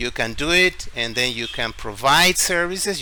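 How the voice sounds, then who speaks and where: Over noticeable background noise, a man with a Spanish accent speaks at a moderate pace. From Ecuador, Guayaquil. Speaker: tech YouTuber and English teacher. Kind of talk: screen-share tutorial.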